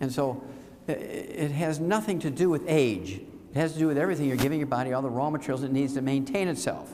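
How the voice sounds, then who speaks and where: A man talks at a very fast pace in a fairly high pitch, with ordinary pitch variation. Room echo can be heard. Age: 70s. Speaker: health lecturer. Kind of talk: lecture. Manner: animated.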